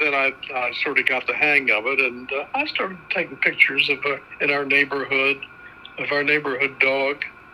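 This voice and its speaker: Noticeable background noise fills the recording. A man speaks through it at a moderate speed. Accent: American. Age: 80s+. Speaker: grandfather, amateur home-movie maker. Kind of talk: casual interview, reminiscing. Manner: halting, with many uh fillers.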